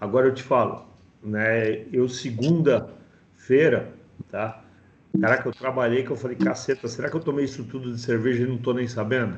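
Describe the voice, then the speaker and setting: The speaker sounds somewhat breathy, keeping a fairly even intonation at a moderate pace. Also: man, medium pitch for a man. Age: 50s. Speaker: course participant. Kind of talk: testimony. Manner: halting.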